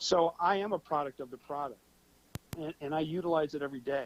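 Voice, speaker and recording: A man speaks at a moderate pace with a fairly high pitch in a plain, everyday voice. The sound is dry and close with no echo. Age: 50s. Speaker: financial software promoter. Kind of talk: talk show interview. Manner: casual, with many fillers and repetitions.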